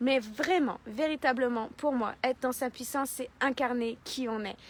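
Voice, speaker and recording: A woman speaks in a high, animated voice with ordinary pitch variation. Her pace is fairly slow. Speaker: life coach. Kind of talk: motivational talk. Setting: live video stream. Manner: loud.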